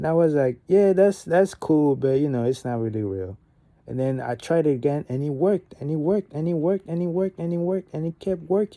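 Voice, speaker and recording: Over noticeable background noise, a man speaks at a fairly quick pace with a fairly high pitch. His intonation is lively, and the sound is dry and close with no echo. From Gabon. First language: French. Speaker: vlogger. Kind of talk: casual monologue.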